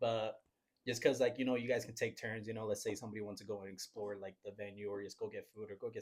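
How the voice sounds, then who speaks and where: Somewhat breathy, a man with a fairly low pitch talks at a very fast pace with fairly even intonation. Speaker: podcast guest, vendor. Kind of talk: casual chat.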